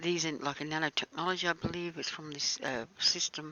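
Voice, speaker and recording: A woman with a fairly low pitch talks at a very fast pace, her intonation fairly even. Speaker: conspiracy video maker. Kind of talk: casual video commentary. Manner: halting, many fillers.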